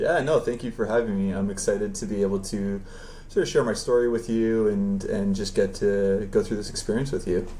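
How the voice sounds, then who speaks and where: With a Canadian accent, a man talks at a fairly quick pace in a fairly low, dark, mellow voice with fairly even intonation and audible room echo. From Canada. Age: 30s. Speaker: professional beach volleyball player. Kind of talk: interview. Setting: live stream.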